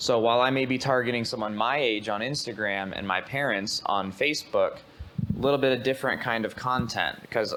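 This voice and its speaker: Fairly quick speech with ordinary pitch variation, an ordinary speaking voice. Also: man. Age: young. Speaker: real estate marketing trainer. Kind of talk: presentation to agents.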